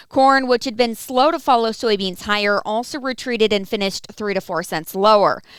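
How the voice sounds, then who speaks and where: A woman with an ordinary speaking voice at a fairly high pitch and moderate pace, ordinary pitch variation, on a very clean recording with a silent background. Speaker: agricultural market news reporter. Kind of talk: radio farm market report.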